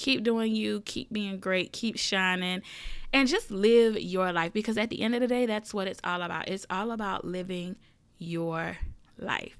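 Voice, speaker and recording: On a very clean recording with a silent background, a woman talks in a Southern US accent at a medium pitch. Her tone is animated, with ordinary pitch variation and a moderate pace. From US South. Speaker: podcast host. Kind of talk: casual monologue. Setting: home recording room.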